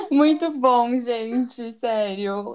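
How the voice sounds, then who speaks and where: With ordinary pitch variation, the woman talks in a fairly high voice. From São Paulo, Brazil. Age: 20s. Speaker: podcast host, public relations professional. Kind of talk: casual chat.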